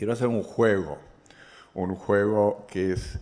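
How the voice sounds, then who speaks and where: Here a man is talking. The intonation is fairly even. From Chile. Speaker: economist and governance expert. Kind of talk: lecture. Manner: halting, with frequent false starts.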